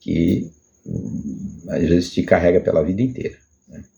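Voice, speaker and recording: A man is speaking. His pace is fairly slow. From Brazil, Rio de Janeiro. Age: 60s. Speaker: personal video blogger. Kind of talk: personal testimony monologue. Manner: halting, many repetitions and fillers.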